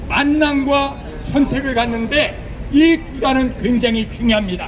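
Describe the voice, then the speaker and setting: A man with an extremely high pitch at a very slow pace, plus audible room echo and noticeable background noise. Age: 60s. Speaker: preacher. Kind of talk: sermon. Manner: animated.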